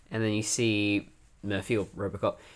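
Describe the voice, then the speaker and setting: A man speaks at a moderate pace. He has an Australian accent and a medium pitch. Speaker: podcast co-host, fiction writer. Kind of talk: casual chat.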